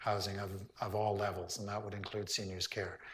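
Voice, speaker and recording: A man talks in a fairly low, somewhat breathy voice. Audible room echo surrounds him. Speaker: town hall moderator, local council member. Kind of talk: public town hall meeting.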